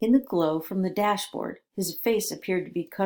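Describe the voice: Plain reading aloud with ordinary pitch variation against a quiet background.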